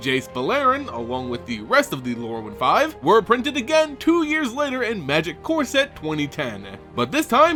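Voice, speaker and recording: A male speaker talks at a medium tempo while music plays behind him. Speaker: voice-over narrator. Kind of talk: trivia narration.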